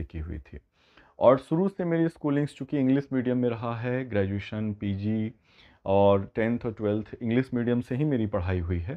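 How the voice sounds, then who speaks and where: A man with lively intonation keeps a moderate pace over a quiet background. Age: 30s. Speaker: biology teacher; teacher. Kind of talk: talking-head video monologue; casual talk to students about his teaching. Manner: hesitant, code-switching.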